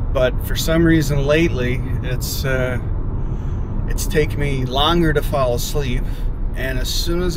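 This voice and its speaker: A man talks at a moderate pace over noticeable background noise, the sound dry with no echo. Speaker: vlogger. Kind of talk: casual vlog chat. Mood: candid, reflective about struggles. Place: car. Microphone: phone near.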